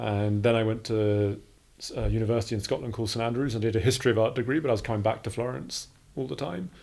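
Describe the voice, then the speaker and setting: Speaking at a very fast pace, a man with a British accent has a dark, mellow tone. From England. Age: 40s. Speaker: art academy director. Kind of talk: casual interview.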